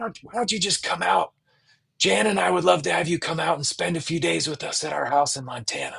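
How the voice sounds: In a put-on character voice, the raspy speaker moves at a fairly quick pace with very wide pitch swings. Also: man, fairly high pitch for a man.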